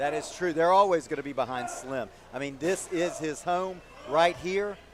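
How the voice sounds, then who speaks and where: Over noticeable background noise, the speaker moves at a moderate pace with ordinary pitch variation. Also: man, high pitch for a man. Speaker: wrestling commentator. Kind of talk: live pro wrestling commentary.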